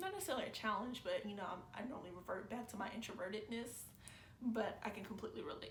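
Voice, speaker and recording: Someone talks very fast with lively intonation. The room echoes audibly and background noise is noticeable. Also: woman, fairly high pitch for a woman. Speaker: YouTube reactor. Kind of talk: casual reaction commentary. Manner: calm, not loud; chill, low-energy.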